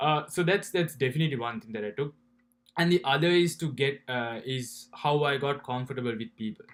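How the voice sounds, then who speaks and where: This man speaks with a Sri Lankan accent. His fairly high voice shows ordinary pitch variation. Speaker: university student. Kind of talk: personal vlog. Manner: halting, many fillers and repetitions.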